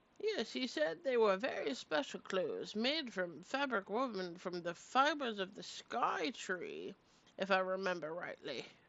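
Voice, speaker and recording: Putting on a character voice, a woman talks at a moderate pace and a medium pitch. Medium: actual play. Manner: kindly, fussy, hooting.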